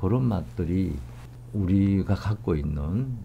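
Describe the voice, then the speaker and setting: Very slow and somewhat breathy, a man's very deep, low voice has a dark, mellow tone and very wide pitch swings over light background noise. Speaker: professor interviewee. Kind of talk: interview answer. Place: hall.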